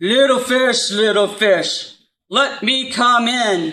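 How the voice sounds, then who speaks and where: A woman's bellowing, high-pitched put-on character voice at a very slow pace. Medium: read story. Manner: roaring, threatening.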